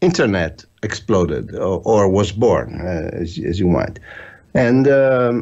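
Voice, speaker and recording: At a very slow pace, a man speaks in a fairly low voice with lively intonation. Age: 60s. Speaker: filmmaker. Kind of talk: interview. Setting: call from Italy.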